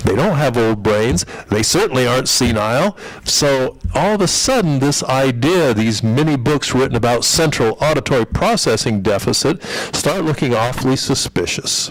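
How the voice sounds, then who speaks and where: A man speaks at a medium pitch and a moderate pace, his loudness very even. His intonation is lively, with noticeable background noise. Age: 60s. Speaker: audiologist. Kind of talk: presentation.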